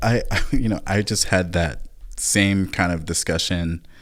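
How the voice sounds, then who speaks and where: Very deep, low male voice, very clean recording, silent background. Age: 30s. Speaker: podcast host. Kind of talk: casual chat.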